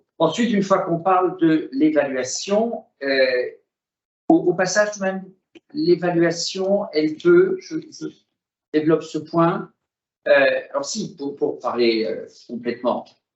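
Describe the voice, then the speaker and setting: Long, frequent pauses breaking up a man's very slow delivery. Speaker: business federation president, former member of parliament. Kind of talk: webinar presentation. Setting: video call. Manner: hesitant, many fillers.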